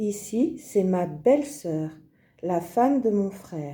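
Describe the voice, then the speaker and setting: A woman speaks at a very slow pace in a somewhat breathy voice of medium pitch. Her tone is dark and mellow. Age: 50s. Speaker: video creator presenting her family. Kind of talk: scripted presentation, like a language-learning exercise. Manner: slow, deliberate.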